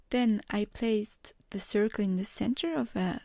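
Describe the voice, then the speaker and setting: A woman speaks fairly slowly at a fairly high pitch, somewhat breathy and with a dark, mellow tone. The recording is very clean, with a silent background. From Switzerland. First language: German and French. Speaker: card maker. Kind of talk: crafting tutorial narration.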